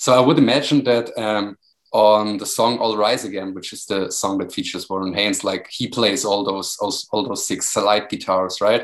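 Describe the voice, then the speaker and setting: A man with a German accent speaks at a moderate pace with hardly any pauses. His fairly low voice keeps a fairly even intonation. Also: big swings in loudness. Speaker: music magazine podcast host. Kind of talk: interview.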